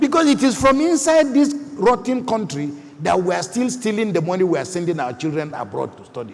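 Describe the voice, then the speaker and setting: A man with a Nigerian accent speaks fairly quickly in a high voice with very wide pitch swings, over noticeable background noise. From northern Nigeria. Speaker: panelist. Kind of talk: panel discussion. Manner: animated.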